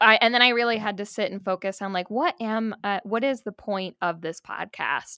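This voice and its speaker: A woman with an American accent speaks at a fairly high pitch with ordinary pitch variation. Her tone is bright and sharp, and the sound is dry and close with no echo. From upstate New York, rural. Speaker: music therapist and podcaster. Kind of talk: casual interview chat. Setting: remote call recording.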